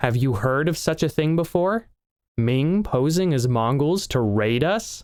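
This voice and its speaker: In a put-on character voice, a man talks with fairly high pitch and lively intonation at a moderate pace, his loudness very even on a very clean recording with a silent background. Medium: read story. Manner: commanding, curt.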